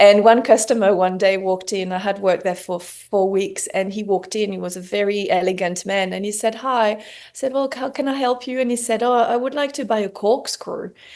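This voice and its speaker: In a French accent, a woman talks at a fairly quick pace. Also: medium pitch for a woman, ordinary pitch variation, hardly any pauses. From southern France. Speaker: homewares brand founder. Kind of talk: interview.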